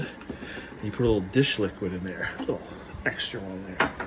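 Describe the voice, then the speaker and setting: A quiet man at a fairly slow pace, ordinary pitch variation, noticeable background noise behind him. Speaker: car hobbyist vlogger. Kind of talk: casual how-to tutorial. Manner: quiet, hushed.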